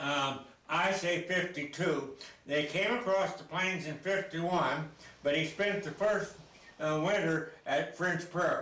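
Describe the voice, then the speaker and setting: Amid noticeable background noise and audible room echo, a man with an American accent and high pitch speaks at a fairly slow pace with fairly even intonation. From US Pacific Northwest, Oregon. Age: 90s. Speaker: local historian. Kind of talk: interview. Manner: halting.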